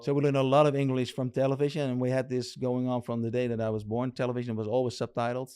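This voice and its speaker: In a Dutch accent, a man with a dark, mellow tone rattles along at a very fast pace with hardly any pauses, his medium pitch held in a monotone, flat intonation. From Netherlands. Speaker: RC lowrider builder. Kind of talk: casual interview chat. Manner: halting.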